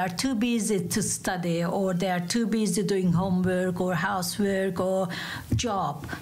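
A woman with a Turkish accent speaks at a medium pitch and a fairly slow pace, with audible room echo and noticeable background noise. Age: 50s. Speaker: coffee cup reader, tourism worker. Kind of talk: casual interview.

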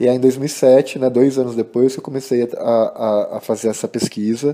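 A man speaks at a moderate pace and medium pitch. His tone is dark and mellow. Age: 30s. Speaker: body suspension practitioner and artist. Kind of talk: recorded interview answers to read-out questions. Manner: halting, many fillers.

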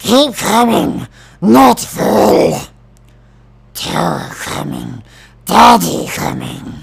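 In a raspy put-on character voice, a man talks at a very slow pace with long, frequent pauses. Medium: voice reel. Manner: broken, clipped phrases.

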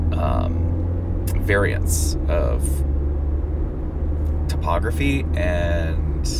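A man speaks at a very slow pace with music playing in the background. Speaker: driver vlogger. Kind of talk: casual vlog chat. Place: car. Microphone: phone near.

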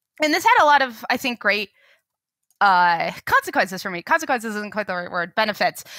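A woman with an American accent, fairly high-pitched, with very wide pitch swings and a fairly quick pace, her tone bright and sharp, the sound dry with no echo against a quiet background. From Boulder, Colorado; Colorado. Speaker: transportation researcher; podcast guest. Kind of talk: interview. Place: home room. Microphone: headset.

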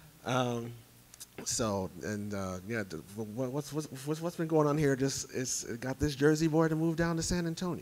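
At a fairly slow pace, a man with a fairly high voice speaks with lively intonation. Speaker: competitive pinball player and rules designer. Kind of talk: convention panel talk. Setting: stage with audience. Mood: humble, lightly humorous. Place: hall. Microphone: handheld.

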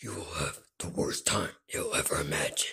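A raspy, put-on character voice at a moderate pace. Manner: threatening, intimidating.

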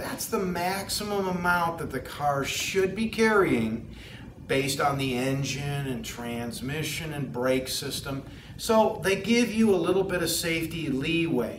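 The speech moves at a fairly slow pace. Light background noise and audible room echo are present. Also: man. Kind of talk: tutorial. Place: shop. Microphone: lapel.

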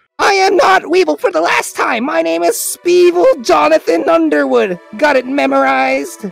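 A put-on character voice with a fairly high pitch moves at a moderate pace over faint background music. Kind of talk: comic overacting. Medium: machinima. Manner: excitable, shouty, boastful.

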